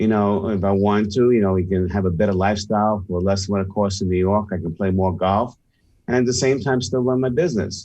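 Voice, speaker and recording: A man's fairly low, plain, everyday voice at a fairly quick pace with fairly even intonation. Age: 60s. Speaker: sales and leadership expert, author. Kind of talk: radio interview.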